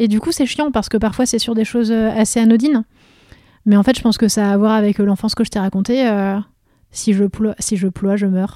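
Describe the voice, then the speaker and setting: At a fairly quick pace, a woman speaks with a fairly high pitch and a dark, mellow tone. Her intonation stays fairly even. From France, Vosges (Lorraine). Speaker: photographer and comic book writer. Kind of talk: interview.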